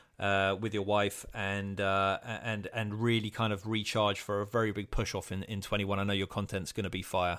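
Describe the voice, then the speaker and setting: Monotone, flat intonation runs through a man's fairly low voice at a moderate pace. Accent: British. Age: 40s. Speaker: podcast host. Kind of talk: casual interview chat. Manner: relaxed, improvised.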